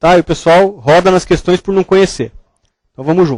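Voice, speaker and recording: Recorded dry and close with no echo, a man speaks fairly quickly. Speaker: medical lecturer, surgeon. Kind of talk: lecture. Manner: casual, conversational.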